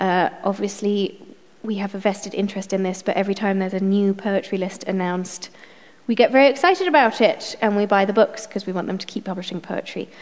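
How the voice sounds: A woman with a medium pitch and a slightly mellow tone talks at a fairly quick pace, with ordinary pitch variation and few pauses.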